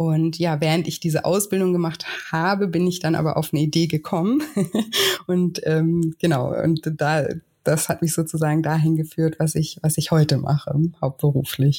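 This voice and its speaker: This woman's very deep, low pitch comes with a dark, mellow, somewhat breathy tone, very even loudness, and monotone, flat intonation. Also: moderate pace. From southern Germany, Lake Constance and Westerwald. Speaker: weight-loss coach. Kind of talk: interview conversation.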